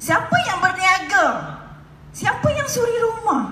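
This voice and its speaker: A woman speaks in a raised, projected voice with lively intonation at a fairly slow pace. Audible room echo surrounds her. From Malaysia. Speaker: direct-selling entrepreneur; speaker. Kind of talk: motivational stage talk. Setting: stage with audience. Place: hall.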